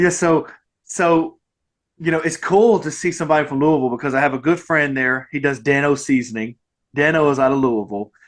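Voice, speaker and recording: A man in a Mississippi accent, fairly high in pitch, with ordinary pitch variation. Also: quiet background. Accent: Mississippi Southern drawl. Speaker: podcast host. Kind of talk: casual interview chat. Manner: animated, halting with repeated false starts.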